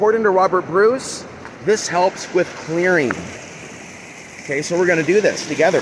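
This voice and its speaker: A loud voice with ordinary pitch variation breaks into long, frequent pauses over noticeable background noise. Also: man. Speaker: spiritual vlogger. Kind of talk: casual monologue. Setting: outdoors by a river. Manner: fast.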